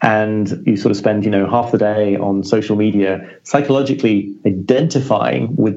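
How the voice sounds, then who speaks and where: Over noticeable background noise, a man with a British accent talks at a moderate pace in a fairly low pitch. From Britain. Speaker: journalist and author. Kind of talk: podcast interview.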